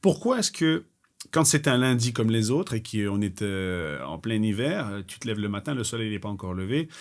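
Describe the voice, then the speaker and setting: Speaking at a moderate pace and medium pitch, a man is heard on a very clean recording with a silent background. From Belgium. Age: 40s. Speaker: gym owner, entrepreneur. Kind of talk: podcast interview. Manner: animated.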